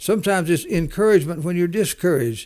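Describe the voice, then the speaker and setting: A man speaks with a Southern US accent. His pitch is high, with ordinary pitch variation. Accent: Southern US drawl. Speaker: entrepreneur. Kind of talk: interview. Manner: halting, many repeated words.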